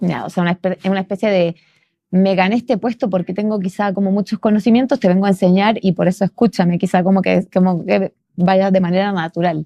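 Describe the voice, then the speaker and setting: Very fast and very even in loudness, a woman speaks with fairly even intonation. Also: medium pitch for a woman, dry, close sound with no echo. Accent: Chilean. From Chile. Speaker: podcast host. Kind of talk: interview conversation.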